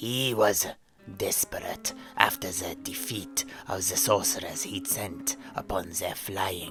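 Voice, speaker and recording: A man whispers in a put-on character voice at a fairly slow pace while clear music plays in the background. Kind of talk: solemn epic storytelling. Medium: audio drama. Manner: ceremonious, measured, archaic phrasing.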